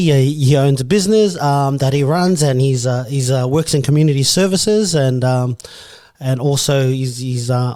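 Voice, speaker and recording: A man with an Australian accent speaks at a moderate pace in a fairly high pitch with ordinary pitch variation. His tone is dark and mellow, in a very clean recording with a silent background. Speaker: podcast host. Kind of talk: casual interview.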